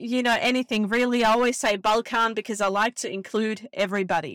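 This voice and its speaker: Against a very clean recording with a silent background, a woman with an Australian accent speaks with fairly even intonation in a dry, close sound with no echo. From Bosnia, raised in Australia from about age 11. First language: Bosnian/Serbo-Croatian. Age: 30s. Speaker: podcast host. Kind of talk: casual solo monologue. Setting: in a car.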